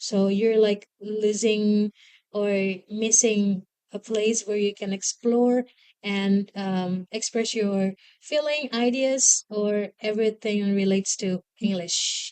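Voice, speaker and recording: A woman's dark, mellow voice with an Indonesian accent, medium pitch, fairly even intonation and a very slow pace, in a dry, close sound with no echo. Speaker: English-speaking community leader. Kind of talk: interview. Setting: school, in front of students. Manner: halting.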